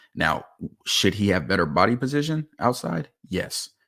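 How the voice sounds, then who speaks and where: An animated man speaks at a moderate pace with very wide pitch swings, on a very clean recording with a silent background. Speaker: football film analyst. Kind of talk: casual chat; film breakdown commentary.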